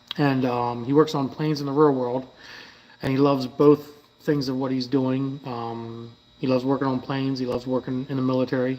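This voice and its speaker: Noticeable background noise accompanies a man talking in a medium pitch. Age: 40s. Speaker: car builder and YouTuber. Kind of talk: live stream Q&A, casual chat. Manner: casual, filler-heavy, profane.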